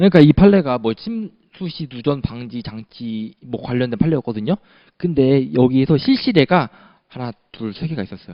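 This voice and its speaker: Speaking at a medium pitch, a man uses lively intonation and big swings in loudness. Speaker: patent law lecturer. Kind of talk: lecture. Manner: fast.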